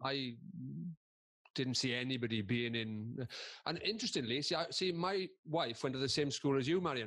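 Against a quiet background, a man with a Welsh accent speaks at a moderate pace, with medium pitch and ordinary pitch variation. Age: 50s. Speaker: comedian and presenter. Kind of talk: casual chat.

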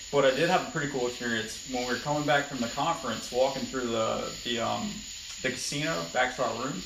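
A man talks very fast at a medium pitch, keeping his intonation fairly even. Noticeable noise runs in the background. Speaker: podcast guest. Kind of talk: casual chat. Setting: home garage, phone recording. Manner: quiet on recording.

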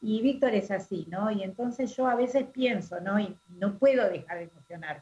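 A woman speaks with a dark, mellow tone. Her voice is somewhat breathy and her pace is moderate. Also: medium pitch for a woman, ordinary pitch variation. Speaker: radio host. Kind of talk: radio interview.

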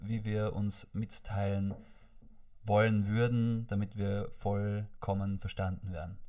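Very slow and monotone, a man speaks with flat intonation, a fairly low pitch, and a dark, mellow tone. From Austria, Vorarlberg. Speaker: podcast guest. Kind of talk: casual chat. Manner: stammering.

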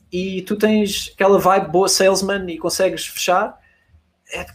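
A man speaks at a fairly slow pace with a high pitch. His intonation is monotone and flat. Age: 20s. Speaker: e-commerce agency founder. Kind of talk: casual chat.

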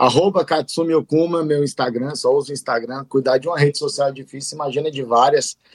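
Recorded with a dry, close sound with no echo, a man speaks in a normal speaking voice at a moderate pace, his fairly high pitch carried by fairly even intonation. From Brasília, Brazil. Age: 30s. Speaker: entrepreneur and emcee. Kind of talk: casual chat.

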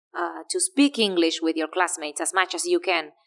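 The woman speaks at a medium pitch with a Spanish accent. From Argentina. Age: 30s. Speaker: English teacher and language school director. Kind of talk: interview.

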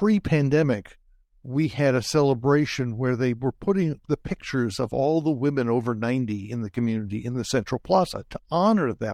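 A man speaks at a moderate pace with a medium pitch and ordinary pitch variation, in a normal speaking voice. The sound is dry and close, with no echo. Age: 60s. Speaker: career coach. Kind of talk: interview. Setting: video call.

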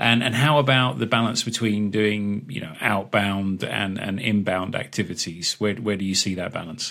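Here a man talks in a normal speaking voice with a fairly low pitch and ordinary pitch variation. He keeps a moderate pace with hardly any pauses. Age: 40s. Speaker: podcast host. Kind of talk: interview.

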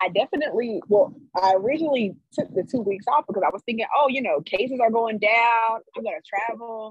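A woman with an American accent and a normal speaking voice talks at a fairly quick pace with hardly any pauses, using a fairly high pitch and ordinary pitch variation in a dry, close sound with no echo. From US South, Greensboro, North Carolina. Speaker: electrical engineer. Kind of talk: interview.

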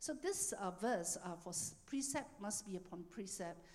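Lively in intonation, a woman with an unremarkable speaking voice talks at a fairly slow pace and medium pitch. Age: 60s. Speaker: church minister. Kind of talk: sermon. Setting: church.

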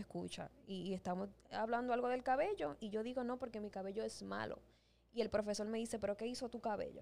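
A woman talks very fast at a fairly high pitch. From Dominican Republic. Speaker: podcast co-host. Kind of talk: casual chat. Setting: studio.

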